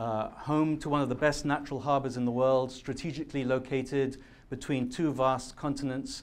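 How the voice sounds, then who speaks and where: A British-accented man at a fairly high pitch, moderate pace and fairly even intonation, with audible room echo. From London, then Majorca from age ten. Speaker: public speaker, activist. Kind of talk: conference talk. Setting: stage with audience. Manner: some hesitations and fillers.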